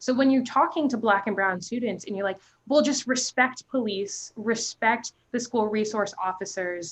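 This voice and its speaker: A woman with an American accent, fairly high-pitched and animated, at a moderate pace with ordinary pitch variation and hardly any pauses. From New Jersey. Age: young. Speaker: youth advocate. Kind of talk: panel discussion. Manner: loud.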